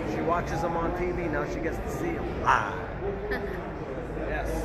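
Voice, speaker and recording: Heavy background noise fills the recording. Over it, a man talks at a medium speed. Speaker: fan vlogger. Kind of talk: casual vlog chat. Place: street. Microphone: phone near.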